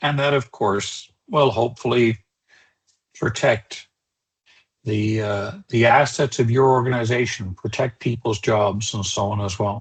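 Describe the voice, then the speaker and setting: Fairly even intonation marks a man's somewhat breathy speech. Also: medium pitch for a man, fairly slow pace. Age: 60s. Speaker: cybersecurity trainer. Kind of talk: webinar lecture. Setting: online webinar. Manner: conversational, with filler words.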